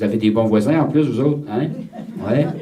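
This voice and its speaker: A man's medium-pitched voice carries lively intonation at a moderate pace. Room echo can be heard. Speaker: priest leading a retreat. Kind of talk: retreat talk. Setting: retreat with audience of nuns. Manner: repeats words, hesitant starts.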